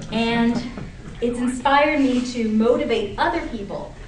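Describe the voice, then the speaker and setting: Speaking at a very slow pace, a woman uses a high pitch. Noticeable background noise and audible room echo come through. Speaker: attorney giving a speech. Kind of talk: prepared speech to audience.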